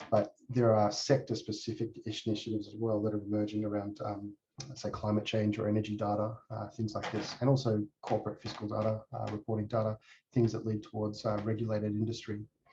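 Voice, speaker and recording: With an Australian accent, a man speaks at a very fast pace in a fairly low pitch, his dark, mellow tone somewhat breathy and his intonation monotone and flat. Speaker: tech company executive. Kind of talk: conference presentation. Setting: presentation to a user group. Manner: halting, many fillers.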